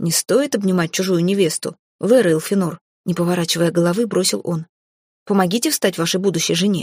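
Over a quiet background, an unforced reading voice keeps a fairly even intonation.

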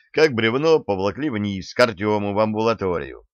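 What is heard here is plain reading aloud.

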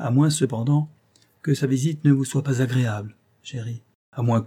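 The reading comes in an unforced reading voice, with a quiet background behind it.

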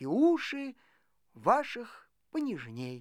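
On a very clean recording with a silent background, a woman does a put-on character voice at a slow pace, with a slightly mellow tone and very wide pitch swings. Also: fairly high pitch for a woman.

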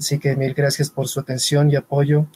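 His voice has a dark, mellow tone, somewhat breathy, with a fairly high pitch and monotone, flat intonation. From Ecuador. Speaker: web and multimedia designer. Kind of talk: live online panel discussion. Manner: formal.

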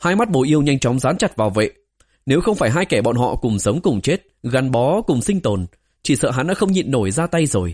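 The background here is quiet. Over it sounds an unforced reading voice.

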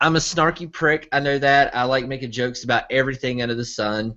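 A man with an ordinary speaking voice and an American accent talks at a fairly quick pace in a medium pitch with fairly even intonation. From US South, Arkansas. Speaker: online entertainment producer. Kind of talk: casual chat.

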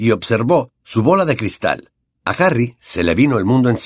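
Lively intonation from a natural voice reading aloud, over a quiet background

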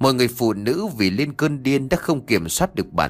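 The reading aloud is done in a natural voice. Its intonation is lively.

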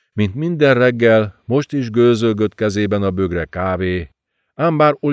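Plain reading aloud with lively intonation. The background is quiet.

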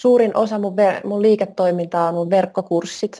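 Her tone is dark and mellow, at a medium pitch. The woman speaks at a fairly slow pace. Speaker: personal trainer and wellness coach. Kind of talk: interview.

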